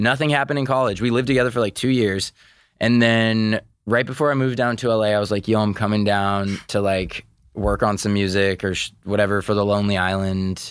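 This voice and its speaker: A man speaks in a normal speaking voice at a fairly low pitch and a fairly quick pace. His intonation is fairly even and his loudness very even. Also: very clean recording, silent background. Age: 30s. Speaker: music artist. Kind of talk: casual chat.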